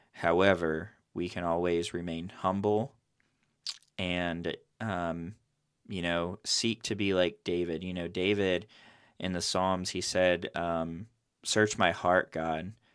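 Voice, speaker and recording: Speaking at a very slow pace with long, frequent pauses, a man with a very deep, low voice talks in a monotone, flat way on a very clean recording with a silent background. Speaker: podcast host and painting business owner. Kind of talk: devotional scripture reading and prayer. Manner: filler-heavy, conversational.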